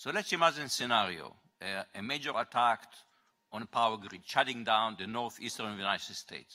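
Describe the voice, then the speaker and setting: The speaker has a non-native accent and a bright, sharp tone. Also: man. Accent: foreign. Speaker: audience member asking question. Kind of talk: audience question.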